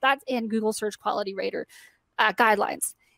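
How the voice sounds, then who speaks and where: A woman at a very fast pace. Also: dry, close sound with no echo. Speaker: conference speaker. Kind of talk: presentation.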